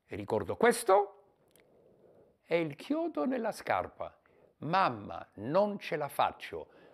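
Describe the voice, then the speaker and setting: A man talks very slowly. Behind him, all is quiet. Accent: Polish. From Poland. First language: Polish (speaking Italian). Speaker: war refugee. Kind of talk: testimony; interview answer. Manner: halting. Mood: emotional wartime childhood memories. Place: home room. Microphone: lapel.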